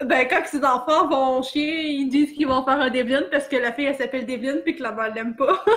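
A high-pitched woman with a Quebec accent, fairly quick and with hardly any pauses, fairly even in intonation, over noticeable background noise. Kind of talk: casual chat.

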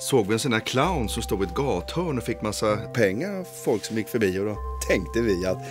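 Clear music plays in the background as a man with a fairly low voice talks at a fairly quick pace. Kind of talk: scripted drama dialogue, rambling anecdote. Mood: self-satisfied, chatty. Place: kitchen.

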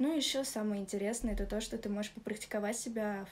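A woman talks at a very fast pace. There is light background noise. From Russia, Moscow region; Russia. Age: 20s. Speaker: club model and dancer. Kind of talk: testimonial. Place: home room. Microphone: phone near.

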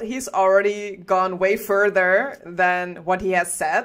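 A woman speaks very slowly with a slight Dutch accent. The background is quiet. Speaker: game studio livestream host. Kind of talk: casual livestream chat. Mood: cheerful, chatty. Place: home room. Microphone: headset.

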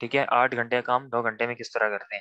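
Against a quiet background, a man speaks in a flat monotone with a bright, sharp tone. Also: dry sound with no echo. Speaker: trainer. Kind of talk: lecture. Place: home room. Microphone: video call.

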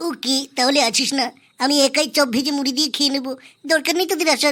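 In a cartoonish character voice, a female-sounding speaker goes at a moderate pace with a high pitch. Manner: scolding, know-it-all.

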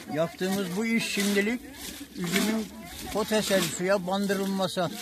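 Amid noticeable background noise, a man with a high pitch talks at a fairly slow pace with fairly even intonation, the sound dry with no echo. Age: 80s+. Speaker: grape farmer. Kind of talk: interview answer. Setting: outdoors. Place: farm. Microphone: phone near.

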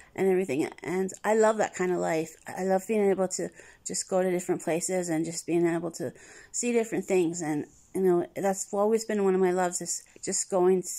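The tone is dark and mellow, with fairly even intonation. The background is quiet. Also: woman, fairly quick pace. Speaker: travel vlogger. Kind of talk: casual vlog chat. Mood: nostalgic, warm. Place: home room. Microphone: phone near.

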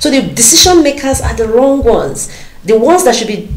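Audible room echo follows a woman who talks at a fairly quick pace. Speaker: candidate. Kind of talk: interview answer. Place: studio. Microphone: lapel.

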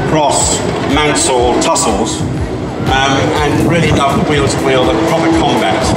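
A man at a fairly slow pace, with loud background noise and audible room echo. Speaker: novelist. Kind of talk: interview answer. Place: stage.

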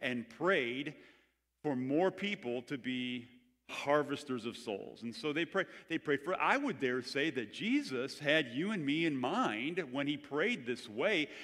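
A man's intonation is lively, and the background is quiet. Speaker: pastor. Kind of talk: sermon. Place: church. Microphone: headset.

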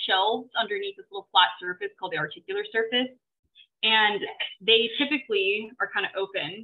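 A woman with a plain, everyday voice speaks at a moderate pace, her fairly high pitch carried by lively intonation. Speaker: graduate student illustrator. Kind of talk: online presentation. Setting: video call.

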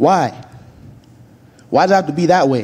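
A man speaks with an American accent at a moderate pace. His tone is dark and mellow.

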